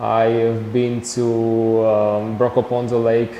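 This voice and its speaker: Amid noticeable background noise and audible room echo, a man with a Slovak accent speaks very slowly in a fairly low voice with monotone, flat intonation. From Slovakia. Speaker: traveller and photographer. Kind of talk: TV interview. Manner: halting.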